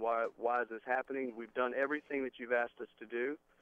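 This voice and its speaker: Here a man speaks with a Southern US accent. His pitch is medium and his pace fairly quick. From Texas. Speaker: rock band lead singer. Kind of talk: interview. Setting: phone call.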